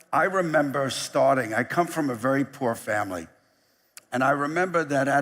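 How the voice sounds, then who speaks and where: A man speaks with a New York accent at a moderate pace. His pitch sits fairly high. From US, New York. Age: 60s. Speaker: company chief executive. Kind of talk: keynote speech. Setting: stage with audience.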